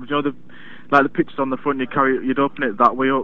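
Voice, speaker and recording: A man speaks with an English Midlands accent. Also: dry sound with no echo. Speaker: customer service agent. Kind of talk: customer service call. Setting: phone call. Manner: halting. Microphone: phone line.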